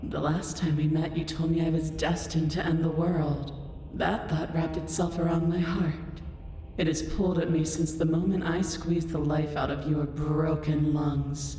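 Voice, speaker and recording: Putting on a booming character voice, a woman speaks at a moderate pace with a very deep, low pitch, and strong echo surrounds her. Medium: game stream. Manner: regal, commanding, condescending.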